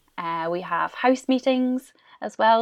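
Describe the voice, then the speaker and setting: A woman with a Scottish accent speaks with ordinary pitch variation. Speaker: primary school teacher. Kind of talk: interview.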